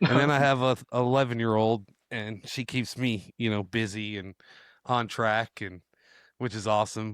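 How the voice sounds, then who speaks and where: A man with a plain, everyday voice speaks at a medium pitch and a moderate pace, using fairly even intonation. The recording is very clean, with a silent background. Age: 40s. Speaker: podcast host. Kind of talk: interview. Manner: casual.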